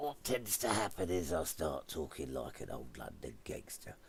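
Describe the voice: A man puts on a character voice that is raspy and very deep, with very wide pitch swings. He talks at a moderate pace over clear background noise.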